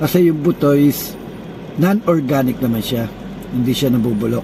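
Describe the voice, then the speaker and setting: There is noticeable background noise behind this man. His intonation is lively. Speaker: organic health vlogger. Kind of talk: casual talk to camera. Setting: inside a car.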